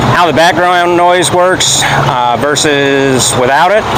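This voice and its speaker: A man speaks with ordinary pitch variation. Audible room echo and noticeable background noise come through. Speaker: vlogger, classic truck owner. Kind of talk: casual vlog. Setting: in and beside a running truck by a road. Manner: normal volume, trying not to be loud; hesitant, many fillers.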